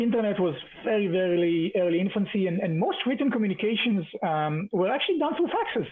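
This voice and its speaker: An Israeli accent at a fairly quick pace, over noticeable background noise. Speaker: tech conference speaker. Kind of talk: keynote talk. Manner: many fillers and repetitions.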